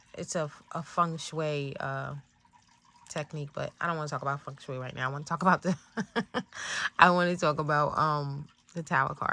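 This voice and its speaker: Soft-spoken yet bright and sharp in tone, a woman with a very deep, low pitch talks at a fairly quick pace in a monotone, flat intonation, her loudness swinging widely between long, frequent pauses. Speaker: tarot reader. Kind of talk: tarot reading talk. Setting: in bed at home. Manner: hesitant, many fillers.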